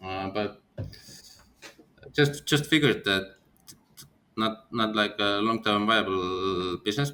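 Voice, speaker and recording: A man with an Estonian accent speaks at a very slow pace with a fairly low pitch, a bright, sharp tone and long, frequent pauses. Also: ordinary pitch variation. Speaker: company founder. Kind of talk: interview. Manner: halting.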